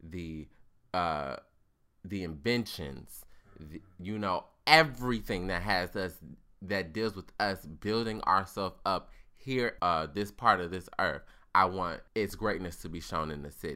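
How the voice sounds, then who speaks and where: A man's very deep, low-pitched voice, animated yet bright and sharp in tone, at a fairly slow pace with big swings in loudness, on a very clean recording with a silent background. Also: ordinary pitch variation. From US. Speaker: podcast host. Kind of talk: casual chat. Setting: studio.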